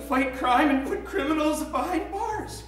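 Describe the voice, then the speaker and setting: Someone puts on a character voice at a moderate pace. Background noise and echo are both clearly audible. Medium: comedy sketch. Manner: timid, easily shocked.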